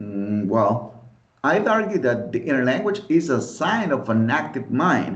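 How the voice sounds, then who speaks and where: With vocal fry and a fairly slow pace, a man speaks in a space with audible room echo. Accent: Spanish. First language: Spanish. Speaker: podcast host, English teaching student. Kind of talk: friendly scripted debate.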